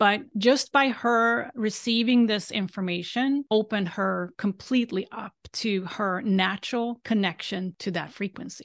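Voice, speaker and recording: With a Swedish accent, the speaker talks at a fairly slow pace with hardly any pauses and ordinary pitch variation, the sound dry and close with no echo over a quiet background. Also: woman, fairly high pitch for a woman. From Sweden. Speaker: galactic astrologer. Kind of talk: casual interview.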